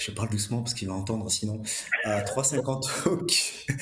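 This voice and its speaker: A man speaks at a medium pitch with fairly even intonation. Noticeable background noise sits behind him. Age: 50s. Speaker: amateur marathon runner. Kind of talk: casual chat. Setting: studio.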